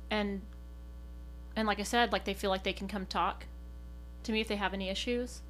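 A woman with an American accent talks at a fairly quick pace. Her speech is broken by long, frequent pauses. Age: 40s. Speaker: coffee shop manager. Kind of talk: casual group conversation. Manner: extroverted, laughs often.

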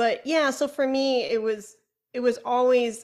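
On a very clean recording with a silent background, a woman with a slight Chicago accent talks in an animated tone. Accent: Chicago accent, slight to moderate. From Chicago, US Midwest. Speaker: flutist, educator and podcaster. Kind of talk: interview conversation. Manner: talkative, animated.

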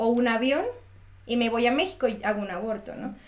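A woman talks at a moderate pace with a Mexican accent. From Mexico. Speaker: architect. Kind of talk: casual chat.

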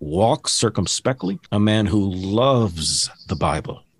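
A man with a plain, everyday voice talks at a fairly slow pace, pitched fairly low with lively intonation. The sound is dry and close with no echo, over a quiet background. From Texas. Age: 50s. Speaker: motivational speaker and preacher. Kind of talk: casual interview.

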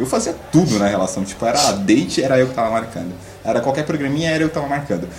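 A man with a medium-pitched, somewhat breathy voice talks at a very fast pace with lively intonation, and audible room echo is present. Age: 20s. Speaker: stand-in co-host, podcast listener. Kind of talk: casual chat.

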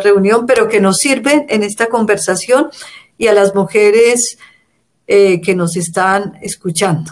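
With a normal speaking voice, a woman of medium pitch talks at a fairly slow pace with ordinary pitch variation. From Colombia. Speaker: feminist organization director. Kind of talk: interview.

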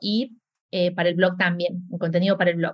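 The speaker is a woman with a somewhat breathy voice. She talks fairly quickly. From Argentina, Córdoba. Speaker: graphic designer and blogger. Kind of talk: interview. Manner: halting, many repetitions.

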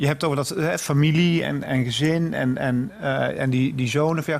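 Here is a man with an unremarkable speaking voice, fairly high in pitch. His pitch variation is ordinary and his loudness very even. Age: 40s. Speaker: podcast interviewer. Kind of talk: interview.

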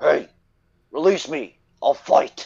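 Shouting in a put-on character voice, a man calls out. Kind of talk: crude, broken speech. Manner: yelled, defiant.

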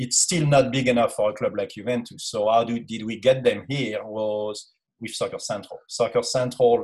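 A man speaks with a French accent. His pace is moderate. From France. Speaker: youth soccer academy director and former sports writer. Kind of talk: casual interview. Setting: video call.

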